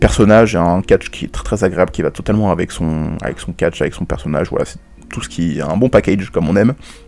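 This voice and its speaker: A man's very deep, low voice at a very fast pace. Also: ordinary pitch variation. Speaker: wrestling podcast host. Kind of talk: solo podcast commentary. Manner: stammering, halting.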